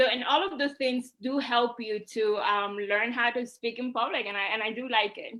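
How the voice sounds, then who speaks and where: At a moderate pace, a woman with a Puerto Rican accent speaks in a high, bright, sharp voice. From Puerto Rico. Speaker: social media host. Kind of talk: interview.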